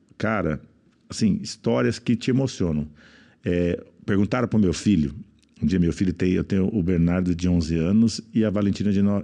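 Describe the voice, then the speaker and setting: Against a quiet background, a man with a very deep, low voice and a dark, mellow tone talks at a moderate pace, his loudness very even and his pitch varying in an ordinary way. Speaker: businessman and speaker. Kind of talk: casual chat.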